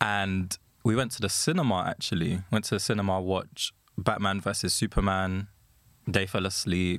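A man with a London accent speaks at a fairly low pitch. He keeps a moderate pace and fairly even intonation. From England. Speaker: podcast collective member. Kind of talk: casual chat.

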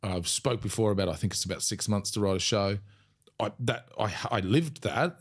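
A fairly low-pitched man with an Australian accent, at a fairly quick pace. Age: 40s. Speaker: comedian. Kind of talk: casual chat.

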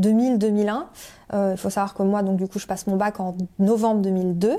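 Speaking fairly slowly, a woman uses a medium-pitched voice. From France (Paris area, La Rochelle). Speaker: career change coach. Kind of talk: interview testimony. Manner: hesitant, many fillers.

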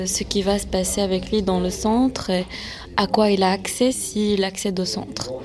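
Calm in tone, a woman speaks fairly slowly at a medium pitch with fairly even intonation, against noticeable background noise. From France. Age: 20s. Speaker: interpreter. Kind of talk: interview.

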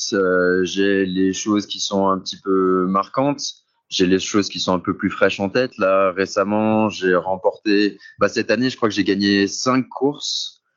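With fairly even intonation, a plain, everyday voice proceeds at a fairly slow pace. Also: man, fairly low pitch for a man. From France, Saint-Étienne. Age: 20s. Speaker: cross triathlete. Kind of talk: interview. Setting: remote call, outdoors.

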